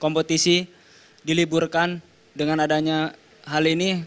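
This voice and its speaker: A man speaks in a fairly high voice, at a fairly slow pace. His intonation stays flat and monotone. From Indonesia, Sukabumi, West Java; West Java, Indonesia. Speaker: professional footballer; guest. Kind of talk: TV panel interview. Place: studio. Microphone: handheld.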